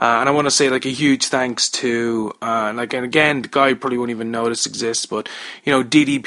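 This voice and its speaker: Against noticeable background noise, a man at a medium pitch talks fairly quickly in a monotone, flat intonation. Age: 30s. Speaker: podcast host. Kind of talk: casual chat.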